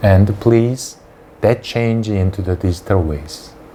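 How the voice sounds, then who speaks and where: Over noticeable background noise, a man with a Korean accent speaks fairly slowly in a fairly low voice with ordinary pitch variation. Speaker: dentist and lecturer. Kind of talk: lecture.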